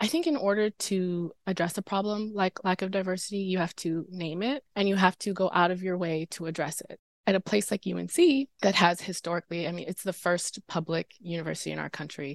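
A woman with a plain, everyday voice talks at a medium pitch and a fairly quick pace with hardly any pauses and ordinary pitch variation, in a dry, close sound with no echo. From North Carolina, Durham. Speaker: advertising producer, former student intervenor. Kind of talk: podcast interview.

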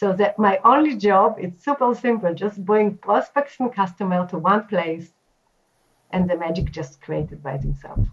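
At a moderate pace, a woman speaks in a medium pitch with a somewhat breathy sound. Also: lively intonation. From Israel. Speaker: marketing executive. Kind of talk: interview.

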